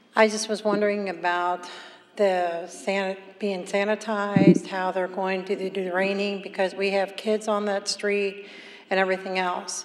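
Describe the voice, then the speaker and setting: A woman speaks in a monotone, flat intonation. Noticeable background noise sits behind her. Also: medium pitch for a woman, moderate pace. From Northern Kentucky (Erlanger). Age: 60s. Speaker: resident giving public comment. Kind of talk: public comment.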